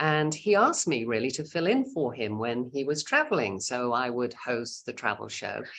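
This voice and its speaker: With hardly any pauses, a woman with a very deep, low pitch speaks at a moderate pace and with lively intonation. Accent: British. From England, Cheshire. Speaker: radio news anchor and tour director. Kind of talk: casual chat.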